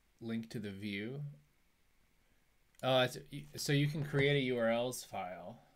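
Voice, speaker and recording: Fairly slow delivery from a man, pitch varying in an ordinary way. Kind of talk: live coding commentary. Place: home room.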